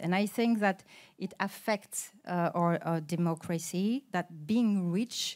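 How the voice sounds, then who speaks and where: In a French accent, a woman speaks at a medium pitch and a fairly slow pace with fairly even intonation, the recording very clean with a silent background. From France. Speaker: politician. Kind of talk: panel talk. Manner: halting with many fillers.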